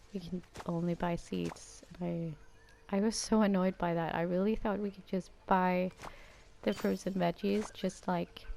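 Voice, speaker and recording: A woman with a Danish accent, at a fairly slow pace. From Denmark. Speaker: gaming YouTuber. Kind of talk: gameplay commentary.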